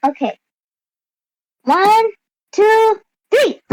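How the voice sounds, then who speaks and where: Put-on, squeaky character voice from a woman, extremely high in pitch, in a dry, close sound with no echo. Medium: actual play. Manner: eager, chatty.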